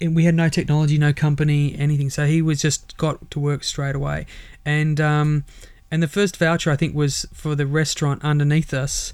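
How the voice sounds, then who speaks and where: With an Australian accent, a man delivers his words at a fairly quick pace in a fairly high pitch and a monotone, flat intonation. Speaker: startup mentor and entrepreneur. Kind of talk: interview.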